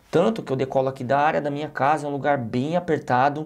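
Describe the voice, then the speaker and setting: A man speaks with a Brazilian accent. The background is quiet. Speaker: tech YouTuber, drone reviewer. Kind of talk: product review with voice-over commentary. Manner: casual, conversational.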